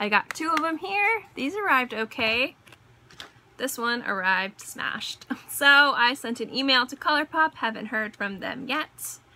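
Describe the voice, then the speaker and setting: A woman's high-pitched, raised and projected voice at a moderate pace, with very wide pitch swings over noticeable background noise. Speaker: beauty vlogger. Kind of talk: casual haul video monologue.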